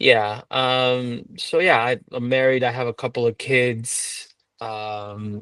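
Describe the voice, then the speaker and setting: Against a quiet background, a man speaks very slowly in a monotone, flat delivery, his medium-pitched voice bright and sharp in tone, with a dry, close sound with no echo. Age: 40s. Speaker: finance professional, coaching client. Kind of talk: testimonial interview. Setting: call. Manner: halting, many fillers.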